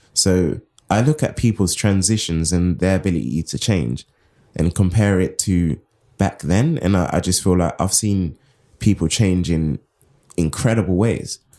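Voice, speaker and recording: This man has a London accent. His very deep, low pitch comes with a dark, mellow tone. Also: ordinary pitch variation, moderate pace. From Southeast London. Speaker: writer and editor. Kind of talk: interview. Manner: casual, stream of consciousness.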